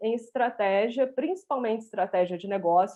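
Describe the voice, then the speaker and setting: Using lively intonation, a woman with a mineiro accent speaks at a moderate pace. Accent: mineiro accent, kept. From Minas Gerais, Brazil (Viçosa). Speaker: business strategist. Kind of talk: live stream interview. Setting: online live stream.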